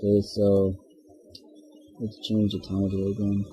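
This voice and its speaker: Music plays in the background as a man talks at a fairly low pitch. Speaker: game engine tutorial maker. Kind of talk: software tutorial narration. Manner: casual, rambling.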